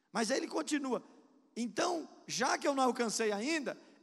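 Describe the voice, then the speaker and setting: This man has an extremely high pitch and lively intonation. He speaks at a moderate pace. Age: 50s. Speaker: pastor. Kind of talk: sermon. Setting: church.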